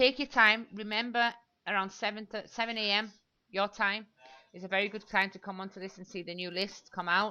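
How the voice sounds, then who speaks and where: Bright, sharp in tone, a woman speaks at a fairly quick pace with a medium pitch. Her intonation is fairly even, while her loudness swings widely. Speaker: online marketing coach. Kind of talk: tutorial. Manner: fast.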